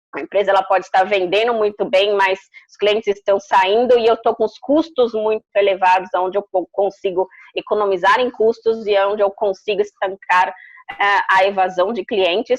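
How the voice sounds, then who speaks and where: A woman with an ordinary speaking voice talks at a moderate pace and medium pitch, with fairly even intonation. Her loudness swings widely, in a dry, close sound with no echo. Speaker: customer experience consultant and speaker. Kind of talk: interview.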